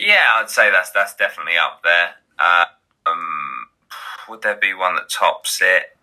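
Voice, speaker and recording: At a fairly slow pace, a man speaks with an East Anglian accent. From Great Yarmouth, Norfolk, England. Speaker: YouTuber and podcaster. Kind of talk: casual chat.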